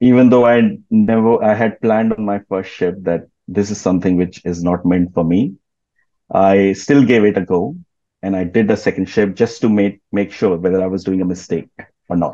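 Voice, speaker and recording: A man speaks in a dark, mellow tone at a fairly low pitch. His intonation is fairly even and his pace moderate. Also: quiet background. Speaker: guest. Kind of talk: interview answer. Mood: relaxed, smiling. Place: home room. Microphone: video call.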